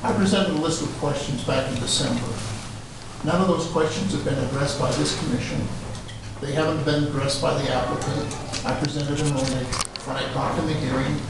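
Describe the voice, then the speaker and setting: A man speaks very fast with ordinary pitch variation. Strong room echo and noticeable background noise fill the recording. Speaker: property owner giving public comment. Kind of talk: public comment. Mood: frustrated, insistent. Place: hall. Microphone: camera far.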